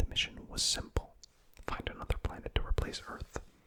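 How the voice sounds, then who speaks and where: The voice is a whisper. Noticeable background noise sits behind it. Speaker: ASMR content creator. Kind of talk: ASMR lore reading, game story narration. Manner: whispered, soft.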